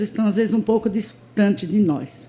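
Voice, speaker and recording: This woman has fairly high pitch with ordinary pitch variation and a fairly slow pace. Her tone is dark and mellow, and somewhat breathy. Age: 70s. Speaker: church member. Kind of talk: testimony. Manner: informal, with frequent fillers.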